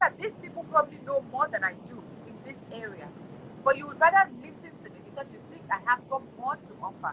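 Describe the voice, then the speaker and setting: A woman with a high voice talks at a fairly quick pace in an animated tone, with very wide pitch swings and big swings in loudness. Noticeable background noise runs underneath. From Nigeria. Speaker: talk show host. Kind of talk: casual discussion.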